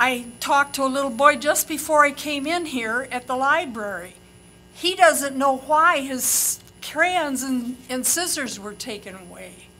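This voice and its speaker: Her raised, projected voice sits at a high pitch with ordinary pitch variation, big swings in loudness, and a fairly slow pace. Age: 80s+. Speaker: public commenter, retired librarian. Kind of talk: public comment. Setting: podium at public meeting.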